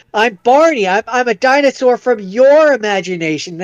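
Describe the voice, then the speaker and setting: A man speaks at a moderate pace in a put-on character voice with an extremely high pitch. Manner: goofy.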